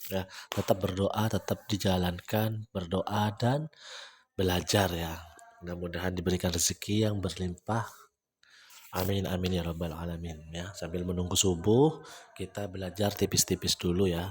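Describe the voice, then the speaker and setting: A very deep, low-pitched, somewhat breathy man's voice at a moderate pace with fairly even intonation. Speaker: trading educator. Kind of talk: live trading tutorial. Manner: casual, conversational.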